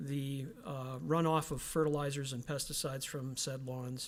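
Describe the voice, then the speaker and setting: The recording is very clean, with a silent background. A man speaks in a monotone, flat intonation. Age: 60s. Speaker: resident speaking at public meeting, former truck driver. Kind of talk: public comment at municipal meeting. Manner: halting.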